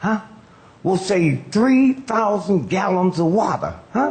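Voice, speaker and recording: The speaker has an American accent and very wide pitch swings. Noticeable background noise runs underneath. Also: man. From United States. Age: 80s+. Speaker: comedian and civil rights activist. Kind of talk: stand-up comedy speech.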